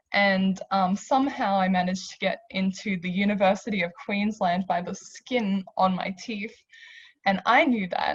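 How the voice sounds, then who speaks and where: A woman talks at a moderate pace with ordinary pitch variation. Her voice is medium in pitch and somewhat breathy. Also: big swings in loudness. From Australia, Hungarian immigrant family. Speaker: university alumna, panelist. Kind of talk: panel discussion.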